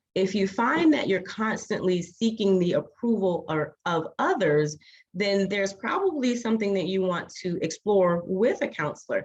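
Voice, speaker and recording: Somewhat breathy, animated woman's voice at medium pitch, moving at a moderate pace with very wide pitch swings. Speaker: licensed clinical social worker and author. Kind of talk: talk to an online group.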